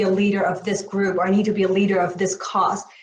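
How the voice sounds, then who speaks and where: This is a woman's voice. It comes across as somewhat breathy. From Myanmar. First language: Burmese. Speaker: panelist. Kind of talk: panel discussion.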